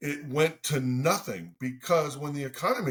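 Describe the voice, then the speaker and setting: A man speaks with an American accent. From Ohio. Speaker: fundraising company executive. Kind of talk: podcast interview. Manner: loud; animated.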